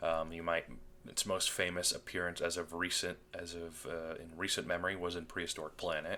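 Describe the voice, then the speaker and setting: At a fairly quick pace, a man with a very deep, low pitch talks in a monotone, flat intonation and a bright, sharp tone. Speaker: gaming video host. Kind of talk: casual commentary on game patch notes. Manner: halting, many fillers.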